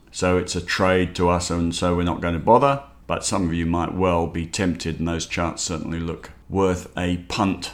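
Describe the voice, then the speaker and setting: A man's very deep, low-pitched voice at a moderate pace, with fairly even intonation and hardly any pauses. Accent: Australian. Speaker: investment newsletter host. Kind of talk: market commentary podcast.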